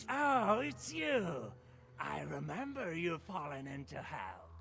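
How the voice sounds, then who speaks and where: A man's put-on character voice at a fairly slow pace, clear background noise underneath. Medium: video game.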